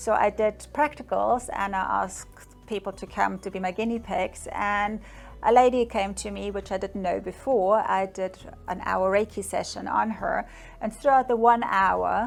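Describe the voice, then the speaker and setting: A woman speaks with a German accent over background music. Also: moderate pace. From Germany, Bavaria. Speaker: psychic medium. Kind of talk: interview answers. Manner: conversational with hesitations.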